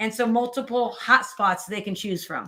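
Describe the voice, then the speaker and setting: A woman speaks with a fairly high pitch and a bright, sharp tone. Her pace is moderate, with ordinary pitch variation. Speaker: teacher and edtech presenter. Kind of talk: webinar tutorial.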